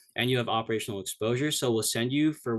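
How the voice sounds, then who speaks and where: In a quiet setting, a man's medium-pitched voice keeps a fairly even intonation. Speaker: cadet presenting at academy info session. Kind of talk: informational presentation. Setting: video call. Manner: fast; casual, many fillers.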